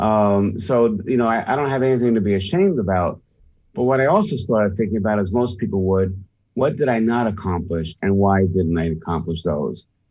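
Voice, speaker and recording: The speaker talks at a fairly quick pace. It is an unremarkable speaking voice. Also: man, fairly low pitch for a man, ordinary pitch variation. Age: 60s. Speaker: sales and leadership expert, author. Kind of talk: radio interview.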